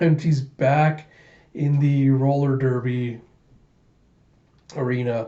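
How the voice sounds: A man's dark, mellow tone at medium pitch, slow pace and fairly even intonation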